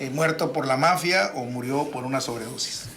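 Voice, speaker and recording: Music plays in the background as a man speaks, with audible room echo. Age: 70s. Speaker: boxing radio commentator. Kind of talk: casual radio chat.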